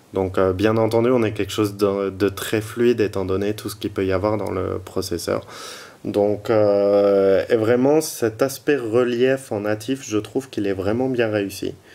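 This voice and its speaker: A man with fairly low pitch, fairly even intonation, and a fairly slow pace. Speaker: tech reviewer and blogger. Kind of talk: product review tutorial. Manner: hesitant, many fillers.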